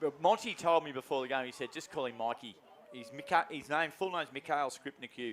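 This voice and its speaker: With an Australian accent, a man speaks at a fairly quick pace and with ordinary pitch variation. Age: old. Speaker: football commentator. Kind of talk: live commentary.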